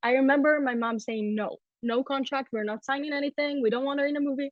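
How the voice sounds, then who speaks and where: A woman speaks with an Israeli accent. Her pitch is high. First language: Hebrew. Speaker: dancer. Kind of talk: interview.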